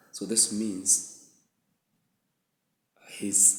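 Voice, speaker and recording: A man with a fairly low pitch speaks with ordinary pitch variation, and audible room echo can be heard. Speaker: book reviewer. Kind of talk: book review monologue.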